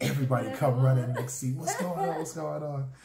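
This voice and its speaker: With an American accent, a man with a medium pitch and a dark, mellow, somewhat breathy tone shows ordinary pitch variation, with audible room echo and light background noise. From Charleston, South Carolina. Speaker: husband explaining dialect. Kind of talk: casual conversation to camera. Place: home room. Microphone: phone near.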